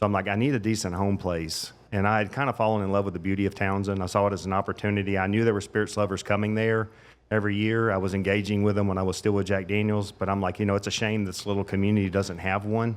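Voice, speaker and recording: A man with a slight Southern US accent talks at a very fast pace in a fairly low pitch, his intonation monotone and flat. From Middle Tennessee. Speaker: master distiller. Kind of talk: casual chat. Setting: live event at a restaurant.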